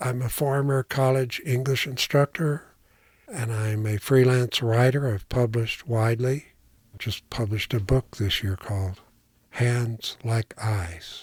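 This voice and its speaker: Somewhat breathy, a man talks at a fairly slow pace with medium pitch and ordinary pitch variation on a very clean recording with a silent background. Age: 70s. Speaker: retired teacher and writer. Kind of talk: personal testimony interview.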